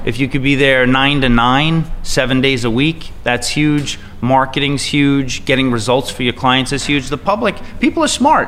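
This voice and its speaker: There is noticeable background noise behind this man. He speaks at medium pitch with an American accent. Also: fairly even intonation, moderate pace. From Long Island, New York. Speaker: real estate agent. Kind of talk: interview.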